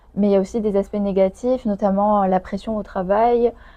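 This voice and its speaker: Speaking at a moderate pace, a woman has a dark, mellow tone. Her intonation is monotone and flat. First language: Chinese (speaking French). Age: 20s. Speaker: lawyer. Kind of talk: interview. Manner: hesitant, many fillers.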